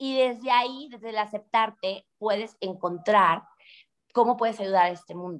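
At a moderate pace, a woman with a fairly high pitch and an energetic tone speaks with ordinary pitch variation and big swings in loudness. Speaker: real estate entrepreneur. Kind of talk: interview.

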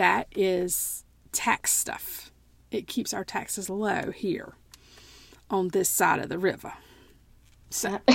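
Speaking very slowly with long, frequent pauses, a woman with a Southern US accent holds a flat monotone at medium pitch in a very clean recording with a silent background. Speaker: podcast co-host. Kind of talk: casual chat.

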